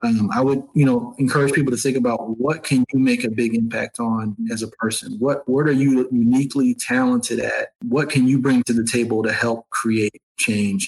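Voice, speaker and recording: A man with an American accent talks at a moderate pace in an unremarkable speaking voice, with hardly any pauses. His pitch is medium, his loudness very even, and his intonation fairly even. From upstate New York, Syracuse. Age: 30s. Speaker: nonprofit executive. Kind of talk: interview conversation.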